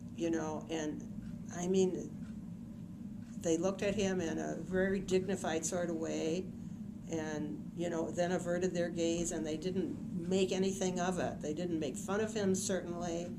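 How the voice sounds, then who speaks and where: This woman has an Upper Midwest accent and a fairly low pitch. Her intonation stays fairly even. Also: fairly slow pace. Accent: Upper Midwest American. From Saint Paul, Minnesota (West Side Flats). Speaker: historian. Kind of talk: interview answer.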